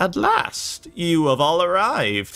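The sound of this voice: A man cackles in a put-on character voice pitched high. He speaks at a fairly slow pace.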